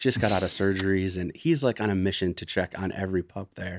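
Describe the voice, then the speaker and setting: In a very clean recording with a silent background, a man with an American accent uses an ordinary speaking voice, fairly low pitch and ordinary pitch variation at a fairly quick pace. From northern Michigan (Gaylord). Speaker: small business owner, former insurance executive. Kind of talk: interview conversation.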